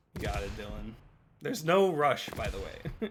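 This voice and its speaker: A man at a fairly quick pace, with noticeable background noise behind him. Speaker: game developer answering community questions. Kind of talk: livestream Q&A. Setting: livestream. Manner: put-on stream voice.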